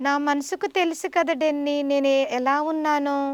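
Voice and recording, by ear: A woman with a high-pitched voice talks at a fairly quick pace with fairly even intonation, the sound dry and close with no echo.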